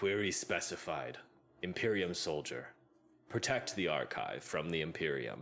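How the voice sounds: Using a put-on character voice, a man booms in a very deep, low pitch with lively intonation, very even loudness and a moderate pace.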